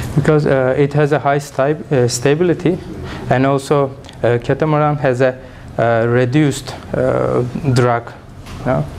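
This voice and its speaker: A man with a Turkish accent and a medium pitch speaks at a moderate pace with long, frequent pauses, fairly even intonation, and very even loudness, over noticeable background noise. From Turkey. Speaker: engineering student and startup founder. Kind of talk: conference presentation; audience Q&A. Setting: conference with audience. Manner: halting, many fillers.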